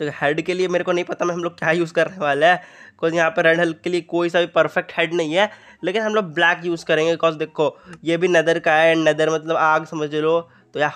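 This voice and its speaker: Against a quiet background, a man speaks with a high voice. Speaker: gaming YouTuber. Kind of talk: gameplay commentary. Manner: animated.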